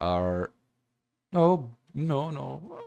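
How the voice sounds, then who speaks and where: A man with a non-native accent talks with very wide pitch swings. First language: not English. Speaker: graphic design tutorial creator. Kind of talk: tutorial. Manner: halting.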